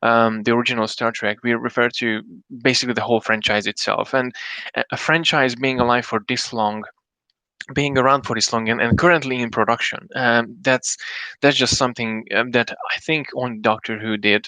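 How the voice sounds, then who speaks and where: A man speaks at a medium pitch and a fairly quick pace, with fairly even intonation. His tone is bright and sharp, and the sound is dry and close with no echo. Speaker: solo live streamer and podcaster. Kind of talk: casual live stream talk. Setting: live stream. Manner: fast; halting, many fillers and restarts.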